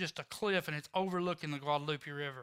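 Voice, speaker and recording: Fairly quick, lively speech in a Texan accent with a bright, sharp tone. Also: man. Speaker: recovery ministry leader. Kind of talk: testimony. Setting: church service.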